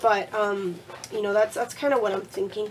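A woman's voice with lively intonation over noticeable background noise. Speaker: crafting vlogger. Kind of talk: casual vlog, showing craft supplies. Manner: friendly, chatty, uses many fillers.

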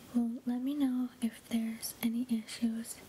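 A soft-spoken woman talks very slowly in a soothing tone with monotone, flat intonation. Light background noise can be heard. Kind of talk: soft-spoken medical roleplay. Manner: soft, soothing ASMR voice.

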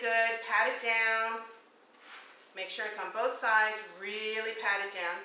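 Her intonation monotone and flat, a woman speaks at a moderate pace with audible room echo and light background noise. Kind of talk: tutorial. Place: kitchen. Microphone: camera far.

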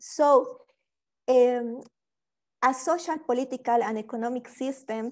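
This woman speaks with a Spanish accent in a high pitch, her intonation fairly even and her pace fairly slow against a quiet background. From Bolivia. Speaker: PhD student; speaker. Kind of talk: webinar presentation. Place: home room. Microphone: earbuds.

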